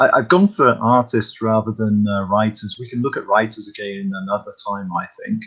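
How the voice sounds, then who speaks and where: The speaker has a British accent and hardly pauses. Noticeable background noise runs underneath. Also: man, moderate pace. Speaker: comics fan panelist. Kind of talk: casual chat. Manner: quiet, keeping voice down.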